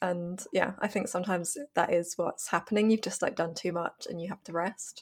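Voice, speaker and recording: Somewhat breathy, a woman speaks fairly quickly at a medium pitch with fairly even intonation and big swings in loudness. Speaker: film podcast co-host. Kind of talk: casual chat.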